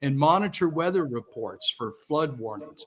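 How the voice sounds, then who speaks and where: Speaking at a moderate pace, a man with an unremarkable speaking voice uses lively intonation at a fairly high pitch. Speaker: panelist, remediation company investigator. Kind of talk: conference panel presentation.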